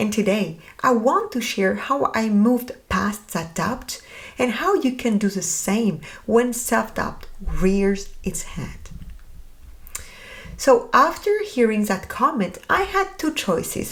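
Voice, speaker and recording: A woman with a French accent at a very slow pace. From France. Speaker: podcast host. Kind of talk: podcast monologue.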